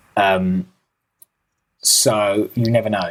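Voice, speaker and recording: The speaker is a man with a British accent. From Britain. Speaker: podcast co-host, political commentator. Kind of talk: casual political discussion.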